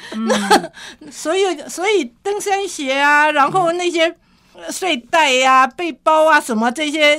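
Projecting her voice, a woman speaks very slowly in a high, bright, sharp tone with lively intonation. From Taiwan, Sanxia, New Taipei. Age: 70s. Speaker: mountaineer and historical trail researcher. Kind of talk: interview.

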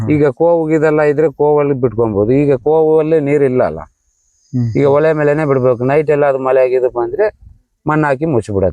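This man has a fairly high pitch and a dark, mellow tone. His voice is captured dry and close with no echo. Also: ordinary pitch variation. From Bhadravati, Shivamogga district, Karnataka. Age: 40s. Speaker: river fisherman. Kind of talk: interview.

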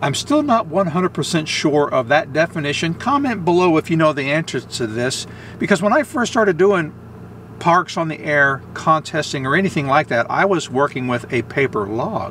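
The man speaks at a moderate pace. The sound is dry with no echo, and light background noise is present. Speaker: amateur radio operator. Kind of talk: tutorial. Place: car. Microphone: phone near.

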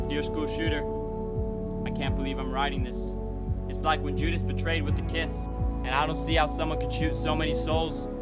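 Loud music plays in the background. Over it, a man speaks at a moderate pace. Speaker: spoken word performer. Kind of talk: spoken word poetry. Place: forest. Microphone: phone near.

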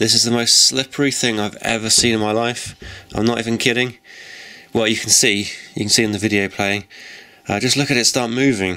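Amid noticeable background noise, a man talks at a fairly quick pace and medium pitch in a monotone, flat intonation, with long, frequent pauses. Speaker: amateur video creator. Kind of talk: casual video narration. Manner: casual, rambling.

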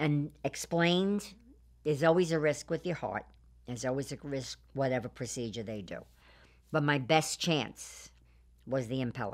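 A woman with a very deep, low voice speaks at a moderate pace, with big swings in loudness and long, frequent pauses. The background is quiet. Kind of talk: interview answer. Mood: calm, earnest storytelling. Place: studio. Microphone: lapel.

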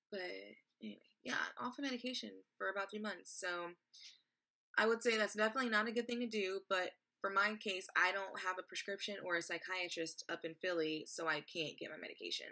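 A woman with an American accent speaks at a fairly quick pace, her tone bright and sharp with ordinary pitch variation. The background is quiet. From Texas. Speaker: vlogger. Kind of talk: personal vlog testimony. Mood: earnest, somewhat frustrated. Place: home room. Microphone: webcam.

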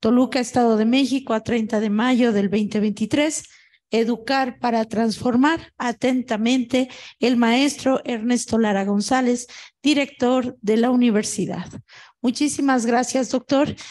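High female voice at a fairly slow pace, with fairly even intonation and very even loudness. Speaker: university administrator. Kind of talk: formal address.

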